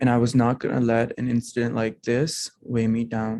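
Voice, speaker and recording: A man's dark, mellow voice with a non-native accent, at a moderate pace. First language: not English. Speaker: program alumnus. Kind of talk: prepared personal testimony speech. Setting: hybrid holiday event.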